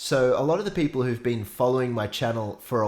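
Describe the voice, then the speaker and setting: Talking at a fairly quick pace, a man with an Australian accent uses a medium pitch. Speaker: singer-songwriter reacting to music. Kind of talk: casual reaction commentary.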